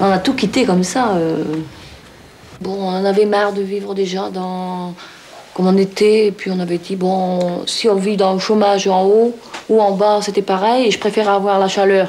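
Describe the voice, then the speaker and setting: Over noticeable background noise, a woman talks at a moderate pace and medium pitch with monotone, flat intonation. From northern France, near Roubaix. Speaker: villager, mother of large family. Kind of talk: interview testimony. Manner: hesitant.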